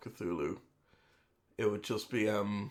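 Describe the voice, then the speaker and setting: In a very clean recording with a silent background, a man with an Irish accent speaks at a fairly low pitch with fairly even intonation. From Ireland. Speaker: streamer. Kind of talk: casual chat. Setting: live stream. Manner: chatty.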